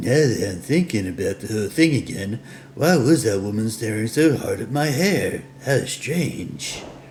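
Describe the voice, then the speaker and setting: A man puts on a character voice at a medium pitch. He goes at a moderate pace over clear background noise. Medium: game stream. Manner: inquisitive.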